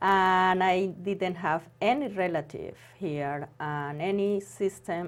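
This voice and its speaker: A woman with a non-native accent, speaking very slowly, with ordinary pitch variation. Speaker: former accountant and homemaker. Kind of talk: interview. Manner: halting.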